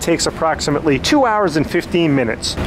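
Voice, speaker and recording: A fairly quick pace amid noticeable background noise. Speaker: travel vlogger. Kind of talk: travel tour commentary. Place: boat. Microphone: phone near.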